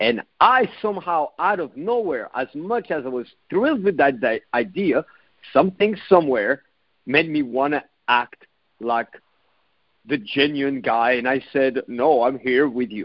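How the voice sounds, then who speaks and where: A man speaks with a European accent at a fairly slow pace. His intonation is lively. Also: fairly high pitch for a man. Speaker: dating coach and podcast host. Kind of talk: solo podcast monologue.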